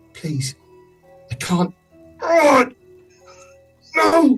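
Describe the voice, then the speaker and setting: With faint music in the background, the speaker uses a put-on character voice at a fairly high pitch. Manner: desperate, hissing in pain.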